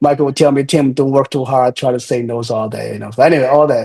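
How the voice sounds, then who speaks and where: A man's dark, mellow voice with a Chinese accent and fairly even intonation. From China. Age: 30s. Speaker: real estate developer. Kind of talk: interview. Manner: halting, many repetitions and fillers.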